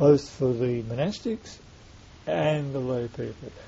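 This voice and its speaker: This man's voice is somewhat breathy and medium in pitch. His pitch variation is ordinary. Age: 60s. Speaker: Buddhist monk, website webmaster. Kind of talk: interview in front of small audience. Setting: room with small live audience.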